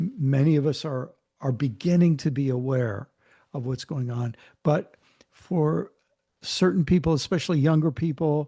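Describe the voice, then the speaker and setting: A man with a fairly high pitch and a dark, mellow tone speaks at a moderate pace with ordinary pitch variation, somewhat breathy and pausing long and often against a quiet background. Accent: American. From US Mid-Atlantic, Maryland. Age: 60s. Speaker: author and theologian. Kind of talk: interview conversation. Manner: halting, many fillers and repeats.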